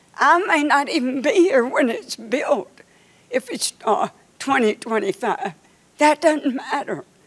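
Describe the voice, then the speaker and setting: A fairly slow voice in a North Carolina accent, with very wide pitch swings and noticeable background noise. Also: woman, high pitch for a woman. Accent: Southern US (North Carolina). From US South (North Carolina, Dunn). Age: 80s+. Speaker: community member speaking at public meeting. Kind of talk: public comment. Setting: public meeting in an arena. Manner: impassioned.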